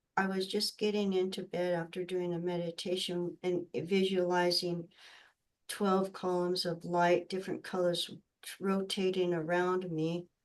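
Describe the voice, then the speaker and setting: Against a quiet background, a woman at medium pitch talks at a fairly slow pace with monotone, flat intonation. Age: 60s. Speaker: spiritual healer. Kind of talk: casual chat. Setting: video call. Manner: halting.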